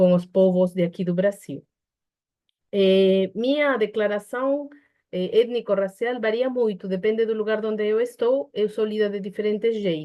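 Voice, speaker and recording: A woman with a Peruvian accent speaks at a fairly slow pace, using ordinary pitch variation. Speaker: psychologist. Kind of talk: online panel debate. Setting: online video call. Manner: hesitant, with fillers and restarts.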